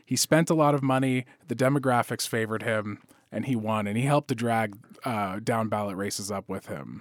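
Heard on a very clean recording with a silent background, a man with a plain, everyday voice talks at a fairly quick pace and medium pitch with ordinary pitch variation. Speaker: business reporter. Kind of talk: panel discussion.

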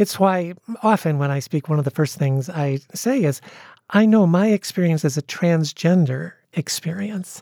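With a dark, mellow tone and lively intonation, a woman talks at a moderate pace in a fairly low pitch, the sound dry and close with no echo. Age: 60s. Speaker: pastor and author. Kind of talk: interview. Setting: radio studio.

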